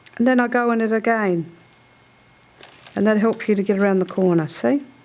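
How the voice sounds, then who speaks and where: Noticeable background noise sits behind a woman speaking at a moderate pace. Her voice is fairly high, with lively intonation. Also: long, frequent pauses. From South Australia, Murraylands. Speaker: traditional basket weaver. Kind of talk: weaving demonstration.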